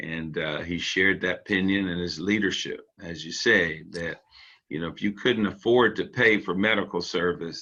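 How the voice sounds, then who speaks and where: Very deep and low, the man's voice still carries a bright, sharp tone. He keeps a moderate pace and fairly even intonation. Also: quiet background. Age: 60s. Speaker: podcast host. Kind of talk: interview. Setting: podcast studio.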